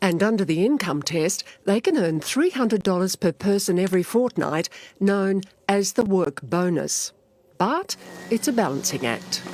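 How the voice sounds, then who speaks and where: A woman's medium-pitched voice with an Australian accent, lively intonation and very even loudness, at a moderate pace, in a dry, close sound with no echo. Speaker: TV news reporter. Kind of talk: TV news report.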